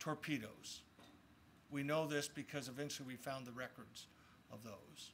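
A man's voice with a bright, sharp tone comes through over light background noise. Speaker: state legislator; speaker. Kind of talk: formal speech. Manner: reflective, formal. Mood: solemn, reflective. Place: open country. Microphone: podium.

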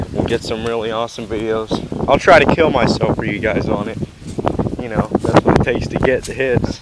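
Loud background noise fills the clip. Over it, a man talks at a moderate pace. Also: dry sound with no echo. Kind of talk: casual vlog chat. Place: open country. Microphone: phone near.

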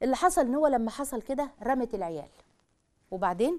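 With a dark, mellow tone, a woman speaks at a moderate pace. Her intonation is lively. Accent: Egyptian. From Egypt. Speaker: religious family-life speaker; TV presenter. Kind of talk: religious talk to a live audience; religious-social talk to camera. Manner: animated. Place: studio.

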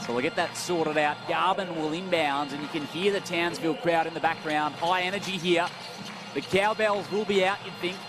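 Clear music plays behind a man with a high pitch, in a dry sound with no echo. He speaks at a fairly quick pace with fairly even intonation. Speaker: play-by-play commentator. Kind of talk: sports commentary. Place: stadium.

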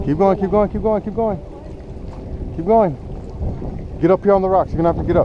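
Noticeable background noise sits under a dry sound with no echo. A man talks at a moderate pace, high in pitch, with fairly even intonation. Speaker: fishing guide coaching angler. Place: waterside. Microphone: phone near.

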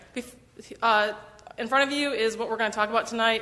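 In an American accent, a woman speaks at a very fast pace with a bright, sharp tone and fairly even intonation, with audible room echo. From Michigan. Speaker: roadway design engineer. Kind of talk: presentation at council meeting. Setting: council chamber with audience, microphone. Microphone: muffled when wearing mask.

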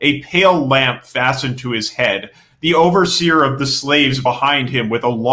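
A natural voice, reading aloud

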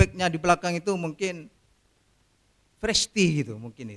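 A man with a high pitch, at a moderate pace, over a quiet background. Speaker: retiring judge. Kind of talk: farewell speech. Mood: warm, apologetic farewell. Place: hall. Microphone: podium.

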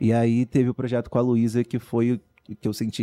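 A man talks at a fairly quick pace in a medium-pitched voice. His tone is dark and mellow, and the sound is dry with no echo. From São Gonçalo, Rio de Janeiro; Rio de Janeiro. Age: 20s. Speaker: professional dancer; podcast guest. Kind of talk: casual chat. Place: studio. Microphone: studio mic.

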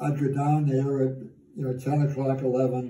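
A man speaks at a fairly slow pace in a somewhat breathy, dark, mellow tone, his intonation monotone and flat, with audible room echo. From Massachusetts, US Northeast. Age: 90s. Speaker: elderly father telling life stories. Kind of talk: casual chat; casual storytelling conversation. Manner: halting. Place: kitchen. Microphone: phone near.

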